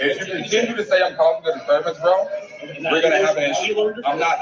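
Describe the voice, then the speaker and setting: Amid noticeable background noise, a man speaks very fast at a high pitch. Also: ordinary pitch variation. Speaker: man in a confrontation with police. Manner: loud, agitated.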